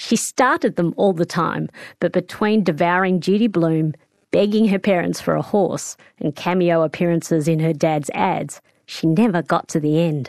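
A woman speaks in an Australian accent at a moderate pace, with fairly low pitch and ordinary pitch variation. Her loudness is very even, and the sound is dry and close with no echo. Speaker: radio host. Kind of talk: interview.

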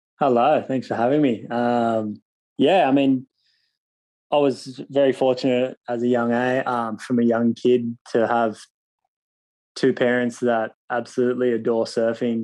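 Speaking slowly in an Australian accent, a man has a dark, mellow tone and flat, monotone intonation. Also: medium pitch for a man. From Australia, Cronulla (Sydney). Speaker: professional surfer. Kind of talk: interview.

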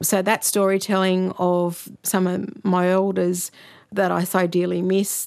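Speaking with an Australian accent, a woman keeps a monotone, flat intonation at a fairly slow pace on a very clean recording with a silent background. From Sydney, Australia. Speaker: author. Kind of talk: interview.

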